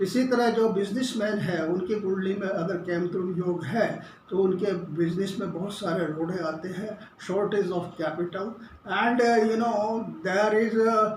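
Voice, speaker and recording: A high-voiced man with fairly even intonation, amid audible room echo and noticeable background noise. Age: 70s. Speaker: astrologer. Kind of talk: lecture. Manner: halting.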